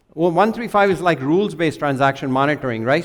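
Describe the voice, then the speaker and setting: Using an ordinary speaking voice, this man talks at a fairly high pitch with lively intonation. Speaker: financial crime compliance executive. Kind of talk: conference presentation.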